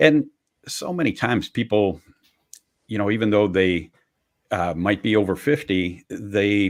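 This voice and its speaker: In an American accent, a man with a fairly low pitch and ordinary pitch variation speaks with long, frequent pauses on a very clean recording with a silent background. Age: 60s. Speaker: career transition expert. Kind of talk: podcast interview. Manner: halting, many fillers.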